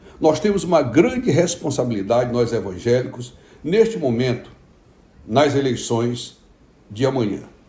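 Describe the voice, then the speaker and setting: Recorded with audible room echo, a man of medium pitch speaks at a moderate pace with lively intonation. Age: 60s. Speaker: pastor. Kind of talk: informal video message to followers. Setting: at home.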